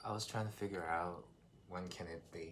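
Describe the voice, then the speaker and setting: In a Korean accent, a man talks at a very deep, low pitch with fairly even intonation, and the room's echo is audible. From South Korea. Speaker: vlogger in international couple. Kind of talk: casual chat.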